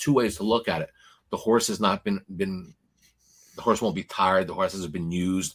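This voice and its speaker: A man with an American accent and a very deep, low pitch speaks at a moderate pace in an animated tone, with ordinary pitch variation. Long, frequent pauses break the very clean recording, which has a silent background. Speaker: horse racing betting analyst. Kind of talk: casual betting preview chat. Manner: animated, repetitive stammering.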